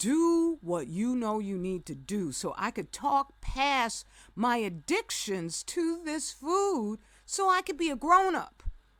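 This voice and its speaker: A woman talks in a high pitch at a very slow pace. Her pitch swings very widely over a very clean recording with a silent background. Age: 60s. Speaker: political commentator. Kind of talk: video monologue. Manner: animated; halting.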